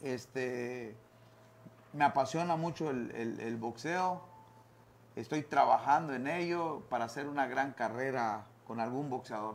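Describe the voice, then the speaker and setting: With ordinary variation in pitch, a man talks rather slowly. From Quintana Roo, Mexico. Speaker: former boxer and boxing coach; guest. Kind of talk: interview. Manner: halting, many fillers and repeated words. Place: studio. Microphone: lapel.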